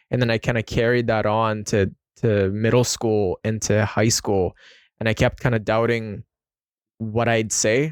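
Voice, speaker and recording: With a Filipino accent, a man speaks at a fairly slow pace and a medium pitch. The recording is very clean, with a silent background and a dry, close sound with no echo. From Philippines. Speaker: podcast host. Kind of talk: casual interview chat.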